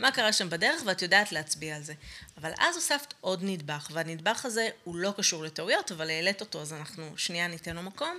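In an unremarkable speaking voice, someone talks at a fairly quick pace with lively intonation and big swings in loudness. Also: woman, fairly low pitch for a woman. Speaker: podcast co-host, coach. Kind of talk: casual chat.

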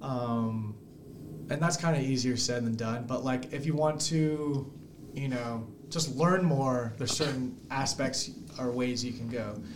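A man with an American accent at a fairly slow pace and fairly even intonation, with audible room echo and noticeable background noise. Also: medium pitch for a man. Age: 30s. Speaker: small business founder. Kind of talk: podcast interview. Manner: casual, laughing often.

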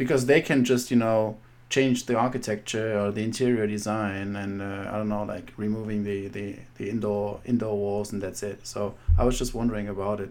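A man with a German accent talks at a fairly quick pace in a fairly low voice with fairly even intonation. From Germany. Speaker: podcast host. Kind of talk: interview. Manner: halting.

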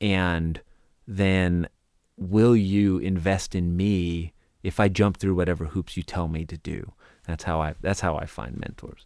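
Over a silent background in a very clean recording, a man with a very deep, low pitch talks at a fairly slow pace with fairly even intonation. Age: 40s. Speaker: business consultant and nonprofit founder. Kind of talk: interview storytelling. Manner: halting, frequent fillers.

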